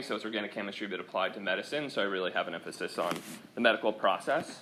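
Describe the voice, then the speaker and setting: Audible room echo surrounds a man's voice. He speaks with a General American accent at a fairly low pitch. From US Pacific Northwest, Seattle. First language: Swedish. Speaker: chemistry professor. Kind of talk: lecture. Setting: classroom. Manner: casual.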